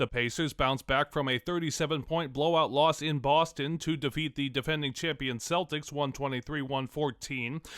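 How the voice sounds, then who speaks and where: With a plain, everyday voice, a man talks at a fairly high pitch and moderate pace, with fairly even intonation and hardly any pauses. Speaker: sports news correspondent / anchor. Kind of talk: radio sports newscast read.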